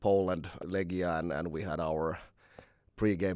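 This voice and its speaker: On a very clean recording with a silent background, a man speaks with a very deep, low pitch and a Finnish accent. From Finland. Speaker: basketball head coach. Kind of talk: casual chat. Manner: halting, many repeated words.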